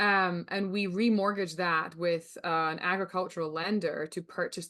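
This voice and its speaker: A woman speaks with a Scottish accent in a fairly low voice. Her intonation stays fairly even, and the background is quiet. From Scotland. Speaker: rancher and sales coach. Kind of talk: webinar presentation.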